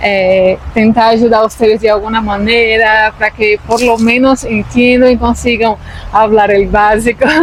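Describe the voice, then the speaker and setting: A woman speaks at a fairly slow pace in a fairly high, monotone, flat voice. Her loudness stays very even, with noticeable background noise behind her. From Brazil. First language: Portuguese (speaking Spanish). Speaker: vlogger. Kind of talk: casual chat.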